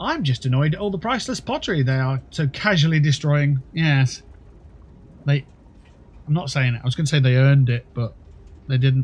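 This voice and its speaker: A man's fairly high voice, somewhat breathy, at a fairly quick pace with ordinary pitch variation and long, frequent pauses. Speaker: gaming streamer. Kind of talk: casual chat. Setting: livestream.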